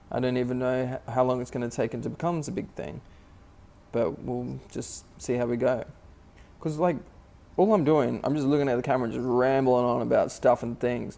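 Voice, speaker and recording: A man mumbles at a fairly quick pace in a dark, mellow tone. His pitch is medium, with ordinary variation. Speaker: vlogger. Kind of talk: casual vlog monologue. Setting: at work during night shift. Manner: halting, filler-heavy; occasional mumbling.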